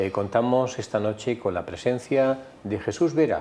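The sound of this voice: A man's medium-pitched, slightly mellow voice at a moderate pace, with ordinary pitch variation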